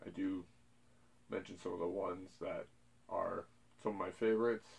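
Moderate pace from a man with a fairly low pitch. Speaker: collector channel host. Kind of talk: casual vlog chat. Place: home room.

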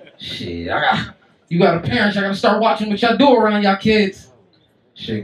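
Pitched high for a man, his voice moves at a fairly quick pace with lively intonation and audible room echo. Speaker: stand-up comedian. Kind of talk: stand-up comedy set, crude and profane, roasting the crowd. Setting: stage with live audience in a comedy club. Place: stage.

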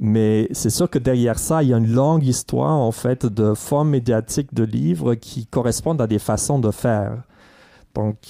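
In a very clean recording with a silent background, a man speaks at a moderate pace with a medium pitch and a dark, mellow tone. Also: ordinary pitch variation, very even loudness. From Germany. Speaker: history professor. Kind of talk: casual intellectual discussion. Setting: university library.

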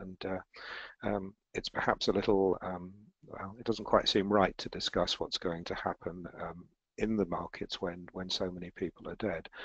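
Against a quiet background, a man speaks at a fairly low pitch. His intonation is monotone and flat. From Europe, based in the eurozone. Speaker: financial analyst and editor. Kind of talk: live webinar presenting market analysis. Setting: online webinar with screen share. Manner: hesitant, many filler words.

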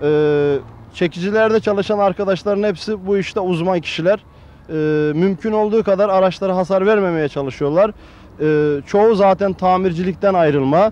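Speaking at a moderate pace, a man with a high pitch keeps very even loudness and ordinary pitch variation in a dry sound with no echo. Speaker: interviewee. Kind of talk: interview answer. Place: street. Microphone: handheld.

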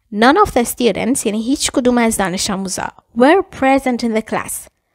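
A woman speaks at a moderate pace in a high voice. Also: very clean recording, silent background. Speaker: English teacher. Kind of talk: language lesson.

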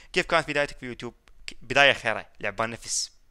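A man with an Iraqi accent talks in a bright, sharp tone with ordinary pitch variation against a quiet background. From Iraq, Baghdad. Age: 20s. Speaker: gaming YouTuber. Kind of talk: casual Q&A reading comments. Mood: joking, teasing. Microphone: headset.

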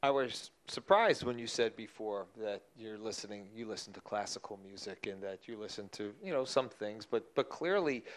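In a plain, everyday voice, a man speaks at a moderate pace with hardly any pauses, a fairly low pitch, ordinary pitch variation and big swings in loudness. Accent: American. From New Jersey. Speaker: music museum director and interviewer. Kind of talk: public interview. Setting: stage with audience. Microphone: handheld.

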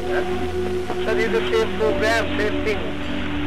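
A man speaks over loud music playing in the background. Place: garden. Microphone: old recording.

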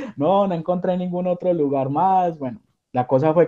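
A man speaks with a high pitch and a dark, mellow tone. The background is quiet. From Colombia, Armenia; Colombia. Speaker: caregiver, immigrant; interview guest. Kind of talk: interview. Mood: cheerful, animated storytelling. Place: home room. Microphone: video call.

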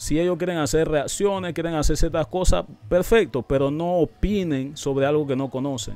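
The speech runs at a moderate pace with hardly any pauses. The sound is dry with no echo, and the pitch varies in an ordinary way. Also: man. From Panama. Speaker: YouTube reaction channel host. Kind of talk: commentary video explaining an interview. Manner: animated. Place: studio. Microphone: studio mic.

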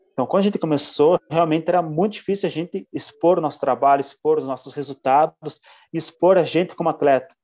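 This man has an unremarkable speaking voice, fairly high in pitch and fairly quick, recorded with a dry, close sound and no echo. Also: ordinary pitch variation. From Santa Catarina, Brazil (São Bento do Sul). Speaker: mountain bike racer. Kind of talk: interview.

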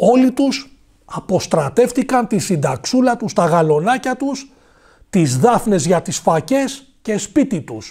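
A man against a quiet background. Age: 40s. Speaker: political commentator. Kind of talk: monologue commentary. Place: studio. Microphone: lapel.

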